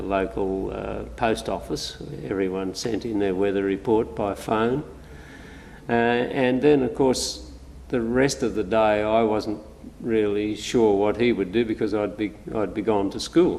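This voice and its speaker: Over noticeable background noise, a man with an Australian accent speaks at a fairly low pitch. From Australia, New South Wales north coast. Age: 70s. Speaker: local resident recalling childhood. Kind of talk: oral history interview. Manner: hesitant with frequent fillers.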